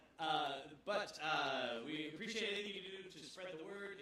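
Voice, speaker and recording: A man's speech comes through with clearly noticeable noise behind it. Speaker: nonprofit museum director, former game journalist. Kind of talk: event welcome speech. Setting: event space with audience, microphone. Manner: loud.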